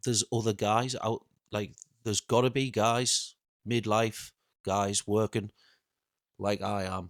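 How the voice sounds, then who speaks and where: A man talks at a very slow pace with long, frequent pauses and fairly even intonation. The recording is very clean with a silent background and a dry, close sound with no echo. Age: 40s. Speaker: factory worker and vlogger. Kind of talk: casual rant to camera. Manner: halting, self-correcting.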